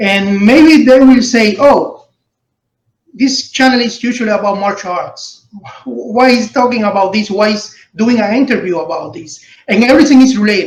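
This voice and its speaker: Audible room echo surrounds a voice that moves at a moderate pace with ordinary pitch variation. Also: man, extremely high pitch for a man. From Cuba. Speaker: martial arts channel host. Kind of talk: interview.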